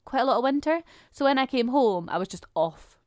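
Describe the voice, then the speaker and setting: Speaking at a fairly quick pace, a woman has a high pitch and ordinary pitch variation. The sound is dry and close with no echo. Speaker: podcast host. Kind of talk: casual chat between spouses.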